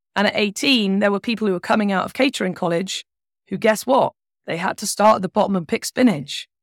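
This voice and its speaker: Very fast and animated, the speaker uses ordinary pitch variation with a British accent in a dry, close sound with no echo and a very clean recording with a silent background. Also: woman, medium pitch for a woman. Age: 40s. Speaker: money coach and former chef. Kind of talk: casual chat.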